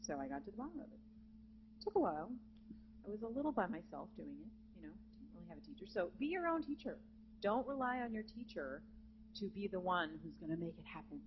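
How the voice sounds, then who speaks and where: Despite long, frequent pauses, a woman talks at a very fast pace with big swings in loudness, in a room with audible echo. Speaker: jazz vocalist and voice teacher. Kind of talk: masterclass lecture to students. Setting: conference center with live student audience. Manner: animated.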